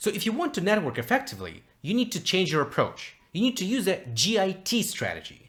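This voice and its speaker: A man with a non-native accent speaks at a fairly quick pace in a bright, sharp tone. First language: not English. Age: 20s. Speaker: communication coach. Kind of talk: tutorial.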